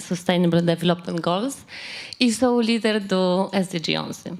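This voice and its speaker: A woman with a Polish accent and a medium pitch speaks fairly slowly with ordinary pitch variation. Noticeable background noise sits behind her. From Poland. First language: Polish (speaking Portuguese). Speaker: audience member. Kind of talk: audience question.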